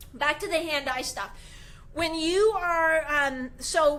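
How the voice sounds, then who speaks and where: With music in the background, a woman talks using lively intonation. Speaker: goalie trainer. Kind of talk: live video tutorial. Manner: animated.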